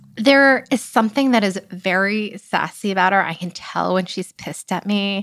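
A plain, everyday voice from a woman of medium pitch, at a moderate pace with hardly any pauses and ordinary pitch variation, on a very clean recording with a silent background. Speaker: startup founder. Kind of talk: casual interview chat.

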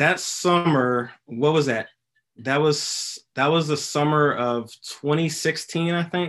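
At a very slow pace, a man with a fairly high pitch speaks with fairly even intonation. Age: 20s. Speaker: investor, podcast guest. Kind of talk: casual interview. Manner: hesitant, many fillers.

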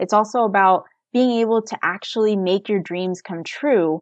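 A woman with an American accent and a plain, everyday voice, medium in pitch with ordinary pitch variation. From United States. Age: 30s. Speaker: personal finance blogger. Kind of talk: interview.

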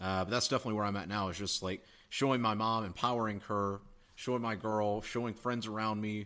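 In an American accent, a fairly low-pitched man talks at a very fast pace with monotone, flat intonation. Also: very clean recording, silent background. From US South, South Carolina. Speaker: online entrepreneur, email marketer. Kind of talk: casual interview chat. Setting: in person, Austin.

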